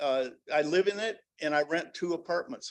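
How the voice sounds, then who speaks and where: A man's voice with ordinary pitch variation. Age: 70s. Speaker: public commenter, self-employed landlord. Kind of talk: public comment at city council meeting. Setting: city council meeting. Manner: animated; halting.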